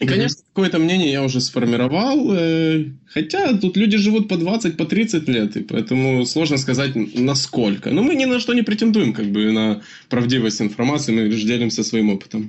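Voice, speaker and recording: A man speaks at a moderate pace in a fairly high pitch. His pitch swings very widely while his loudness stays very even. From Ukraine. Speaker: podcast co-host. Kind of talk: casual chat.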